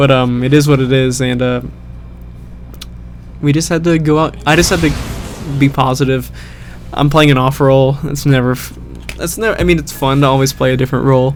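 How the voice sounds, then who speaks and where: A man with a medium pitch talks at a fairly quick pace with fairly even intonation and long, frequent pauses. Noticeable background noise runs underneath. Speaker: gaming commentator. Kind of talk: post-game voiceover commentary. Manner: monotone; hesitant, many fillers.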